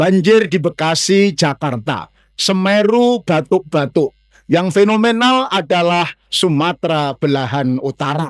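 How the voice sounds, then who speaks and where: A man speaks at a fairly slow pace in a high voice with lively intonation. The sound is dry and close, with no echo. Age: 60s. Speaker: Islamic preacher. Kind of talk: mosque sermon lecture. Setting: mosque.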